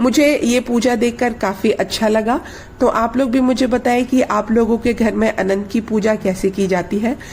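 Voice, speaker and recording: Pauses hardly occur, and the loudness stays very even at a fairly slow pace. Intonation is fairly even over noticeable background noise. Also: woman. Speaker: vlogger. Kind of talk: casual vlog outro.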